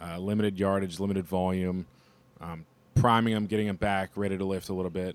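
Fairly even intonation and a very fast pace mark this speech, delivered with an American accent. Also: man. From Cincinnati, Ohio. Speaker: assistant strength coach. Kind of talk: roundtable discussion.

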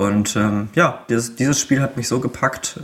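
A man's ordinary pitch variation carries his fairly slow delivery. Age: 20s. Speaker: video game fan guest. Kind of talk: casual chat. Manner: hesitant, many filler sounds.

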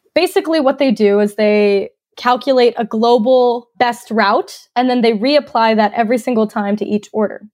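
A woman speaks in an ordinary speaking voice with an American accent, fairly high-pitched, at a moderate pace. Her pitch varies in an ordinary way and she hardly pauses. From US South, North Georgia. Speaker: tech startup CEO, industrial engineer. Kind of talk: interview.

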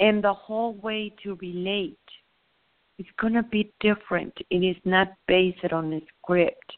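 A woman with a Spanish accent speaks at a medium pitch and a fairly slow pace, keeping her intonation fairly even. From southern Mexico. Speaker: spiritual teacher. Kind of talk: spiritual teaching talk. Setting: phone call.

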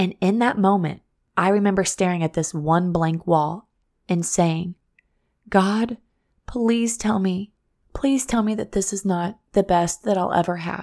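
On a very clean recording with a silent background, a woman with a medium-pitched voice speaks fairly slowly in an animated tone, with ordinary pitch variation and long, frequent pauses. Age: 30s. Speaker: podcast host and former teacher. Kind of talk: casual motivational monologue.

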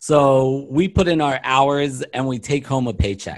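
In a very clean recording with a silent background, a man with an American accent and a fairly high pitch speaks in a plain, everyday voice. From US East Coast, Baltimore, Maryland. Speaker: business consultant and keynote speaker. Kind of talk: interview.

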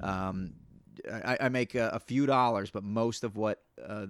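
A man with an American accent speaks in a plain, everyday voice at a fairly low pitch with fairly even intonation. The recording is very clean with a silent background, dry and close with no echo. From US. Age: 40s. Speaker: comedian. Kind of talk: casual chat.

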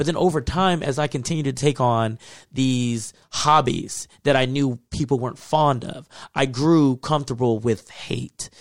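With an American accent, a man in an unremarkable speaking voice talks at medium pitch and a fairly slow pace, his intonation fairly even, on a very clean recording with a silent background. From Texas. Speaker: podcast co-host. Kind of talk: casual chat.

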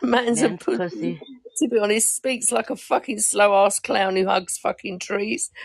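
The voice is in an English accent. It moves at a moderate pace. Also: woman. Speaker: podcast panelist. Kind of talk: casual chat.

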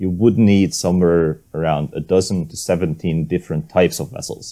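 A man's very deep, low voice with a dark, mellow tone, in a Hungarian accent, at a moderate pace. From Hungary. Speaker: maritime archaeologist and sailor. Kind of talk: interview.

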